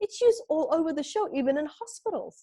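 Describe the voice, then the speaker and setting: Her tone dark and mellow, a woman speaks with very wide pitch swings in a dry, close sound with no echo. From Namibia. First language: not English. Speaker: spiritual teacher and author. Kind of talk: podcast interview.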